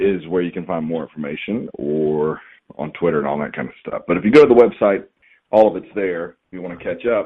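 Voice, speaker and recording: This man has a very deep, low voice and a slight Southern US accent. His intonation is lively. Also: fairly quick pace. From Georgia, US South. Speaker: professional wrestler and wrestling trainer. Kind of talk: podcast interview. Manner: relaxed, hesitant with fillers.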